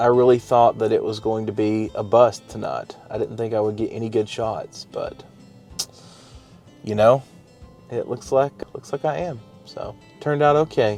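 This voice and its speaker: A man with a strong Appalachian accent at medium pitch and ordinary pitch variation, moderate in pace with long, frequent pauses, music in the background. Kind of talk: casual, conversational.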